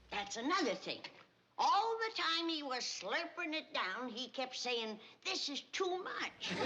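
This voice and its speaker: A woman puts on a character voice in an Appalachian accent, her pitch high and swinging very widely. She speaks at a fairly slow pace. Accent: rural Southern mountain. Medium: short film. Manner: brisk, sharp-tongued.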